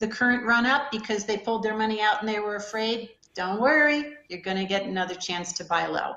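This woman has a normal speaking voice at a medium pitch, with fairly even intonation. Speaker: hedge fund manager. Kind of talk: interview.

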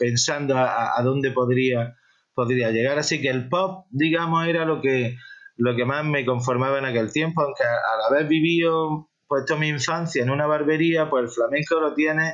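A man at a fairly high pitch, moderate in pace, with very even loudness and fairly even intonation. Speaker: rock musician. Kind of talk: interview. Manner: halting.

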